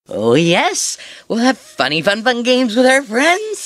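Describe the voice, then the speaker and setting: In a put-on character voice, someone speaks at a fairly high pitch and a moderate pace. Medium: read story. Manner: giggly, manic.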